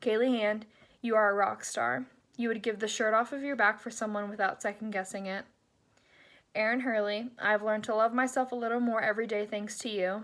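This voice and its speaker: This is a woman with an ordinary speaking voice, fairly high in pitch, talking at a fairly quick pace with fairly even intonation. The recording is very clean with a silent background. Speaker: graduating sorority member. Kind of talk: reading aloud a farewell letter.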